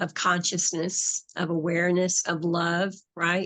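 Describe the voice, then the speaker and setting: At a fairly slow pace, a woman with an American accent speaks in an unremarkable speaking voice. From US South. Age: 60s. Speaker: hypnotherapist and spiritual author. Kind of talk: interview conversation.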